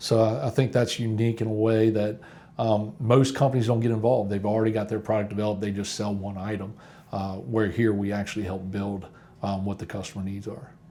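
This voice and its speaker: In an Appalachian accent, a man talks at a fairly quick pace with a dark, mellow tone and fairly even intonation. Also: fairly low pitch for a man. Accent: Appalachian American. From West Virginia, US. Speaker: company employee. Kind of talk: documentary interview.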